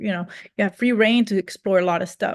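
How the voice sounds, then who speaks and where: Against a quiet background, a woman with a Spanish accent speaks at a fairly high pitch with ordinary pitch variation. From Cuba. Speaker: Spanish teacher. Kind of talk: sales pitch. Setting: video call. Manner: casual, many fillers.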